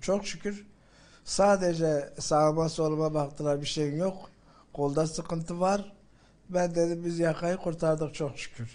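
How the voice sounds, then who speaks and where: A man's dark, mellow voice at a fairly slow pace, its intonation fairly even. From Gaziantep, Islahiye. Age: 70s. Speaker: earthquake survivor, former farmers' chamber president. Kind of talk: interview answer. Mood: emotional recounting of rescue. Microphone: handheld.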